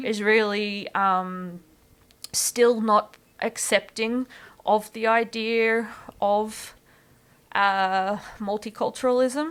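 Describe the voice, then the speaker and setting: Speaking at a very slow pace with long, frequent pauses, a woman with a rural Queensland accent keeps her fairly high pitch fairly even in a very clean recording with a silent background. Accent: rural Queensland Australian. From far south west Queensland, Australia. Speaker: pre-service teacher and ESL tutor. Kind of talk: podcast interview answer.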